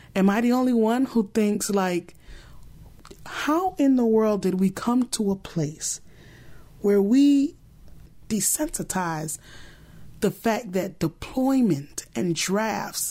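A woman's medium-pitched voice with a dark, mellow tone and lively intonation, at a very slow pace with long, frequent pauses and very even loudness, on a very clean recording with a silent background. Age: 30s. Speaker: podcast host. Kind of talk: solo commentary monologue.

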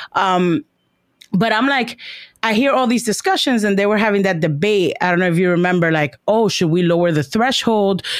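This very clean recording with a silent background has a woman with an American accent using a normal speaking voice at medium pitch, with lively intonation, a moderate pace and very even loudness. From New York City, Washington Heights. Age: 30s. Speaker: teacher. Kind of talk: casual chat.

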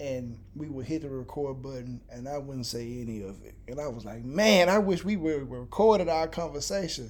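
Audible room echo surrounds a man speaking at a moderate pace with lively intonation and hardly any pauses. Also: fairly high pitch for a man. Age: 30s. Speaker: podcast co-host. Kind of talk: casual chat. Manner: animated.

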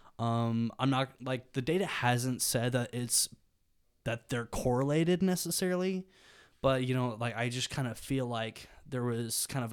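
A man with a Southern US accent at a moderate pace and medium pitch. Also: very clean recording, silent background. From Birmingham, Alabama. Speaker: university student. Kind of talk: interview.

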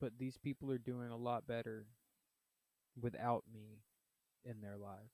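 A man with a Texan accent talks at a moderate pace and a medium pitch, his intonation monotone and flat. His loudness swings widely, and the sound is dry and close with no echo. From Southeast Texas. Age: 30s. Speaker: podcaster. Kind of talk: personal monologue. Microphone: cheap microphone.

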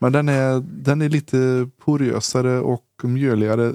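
A man's medium-pitched voice, dark and mellow in tone, with fairly even intonation and a dry, close sound with no echo. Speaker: disc golf podcast co-host. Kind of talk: casual chat.

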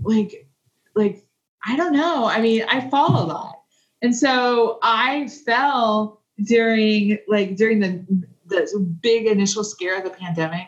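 Fairly high in pitch and somewhat breathy, a woman speaks with an American accent. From US Midwest, southeast Kansas. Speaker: podcast guest. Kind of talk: casual chat.

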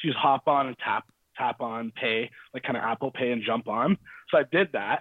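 This man speaks at a fairly quick pace. His voice is medium in pitch, with ordinary pitch variation. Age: 20s. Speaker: guest. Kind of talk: casual chat.

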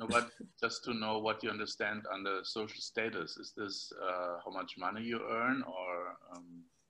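A man with a German accent speaks at a moderate pace in a fairly low pitch, his bright, sharp tone carried by fairly even intonation. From Germany. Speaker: podcast host. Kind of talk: interview. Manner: halting.

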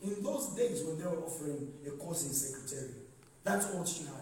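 This man's tone is animated, and noticeable background noise accompanies his speech. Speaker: pastor. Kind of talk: sermon. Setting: church with congregation. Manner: animated, call-and-response preaching, rising and exhorting the congregation; commanding, directing the audience.

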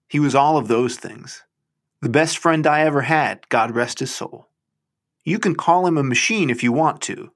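In a very clean recording with a silent background, a man with an unremarkable speaking voice talks in a fairly high pitch with lively intonation. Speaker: podcast host reading a short story aloud. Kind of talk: literary audiobook reading of a first-person short story, storytelling. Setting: garage, recorded at home.

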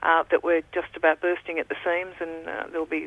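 The speaker is a woman with an Australian accent. Her voice sits fairly low. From Victoria, Australia. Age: 60s. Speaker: football club executive and philanthropist. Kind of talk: interview.

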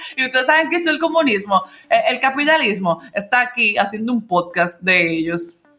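A woman's fairly high voice with very wide pitch swings at a moderate pace, over noticeable background noise. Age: young. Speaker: podcast co-host. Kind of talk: casual chat.

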